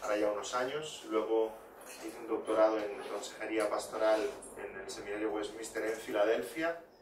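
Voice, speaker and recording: Over noticeable background noise and audible room echo, a man with a fairly low pitch talks at a moderate pace, with ordinary pitch variation and big swings in loudness. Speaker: pastor and biblical counselor. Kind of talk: sermon.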